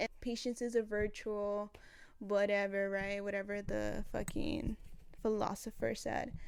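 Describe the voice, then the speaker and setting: In a very clean recording with a silent background, a woman with a non-native accent speaks at a very slow pace. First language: not English. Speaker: vlogger. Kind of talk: casual vlog monologue. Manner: casual, chatty.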